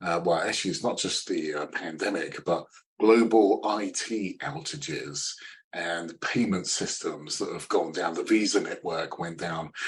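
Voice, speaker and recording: A man speaks with a British accent. He keeps a fairly slow pace. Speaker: sales consultant. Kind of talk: interview. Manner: halting, many fillers; upbeat.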